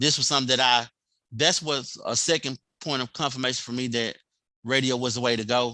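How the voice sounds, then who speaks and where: A man with a bright, sharp tone, fairly even intonation and a fairly quick pace. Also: medium pitch for a man. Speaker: radio host. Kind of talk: interview.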